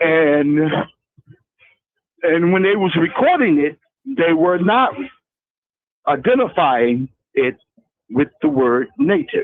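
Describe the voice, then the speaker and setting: A man with an American accent talks in a high pitch at a very slow pace, with very wide pitch swings, long, frequent pauses and very even loudness. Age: 60s. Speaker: caller. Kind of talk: phone-in conversation. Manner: halting.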